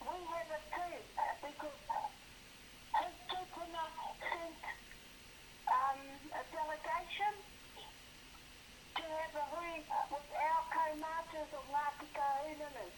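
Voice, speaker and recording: Over noticeable background noise, a woman with an extremely high voice speaks very slowly, with ordinary pitch variation and long, frequent pauses. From Wairoa, New Zealand. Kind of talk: phone call conversation.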